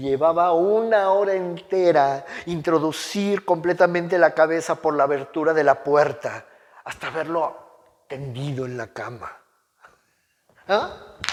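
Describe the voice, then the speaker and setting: Speaking at a fairly slow pace, a man has an unremarkable speaking voice at a fairly high pitch. His loudness swings a lot. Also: ordinary pitch variation. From Mexico. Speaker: oral storyteller. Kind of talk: dramatic story reading aloud.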